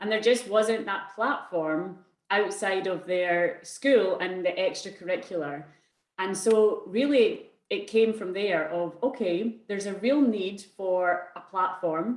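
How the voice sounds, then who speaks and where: Speech comes at a very slow pace. Its pitch varies in an ordinary way. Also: woman, medium pitch for a woman. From Scotland. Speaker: arts organisation co-founder. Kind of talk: presentation in online panel talk. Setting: video call.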